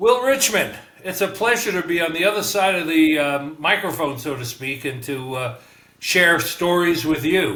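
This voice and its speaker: Noticeable background noise and audible room echo surround a man with a New York accent who speaks at a moderate pace in a high pitch with very wide pitch swings. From New York (Bronx, Manhattan, Long Island). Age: 70s. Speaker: retired businessman. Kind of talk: podcast interview. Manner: hesitant, many fillers.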